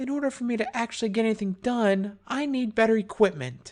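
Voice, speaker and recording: A woman uses a put-on character voice, fairly high in pitch, with ordinary pitch variation and a fairly quick pace. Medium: read story. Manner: muttering to herself.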